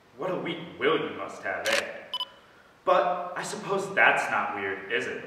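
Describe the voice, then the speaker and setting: A man talks at a fairly slow pace. Audible room echo and light background noise surround him. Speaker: actor performing audition monologue. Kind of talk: dramatic monologue. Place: hall. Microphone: camera far.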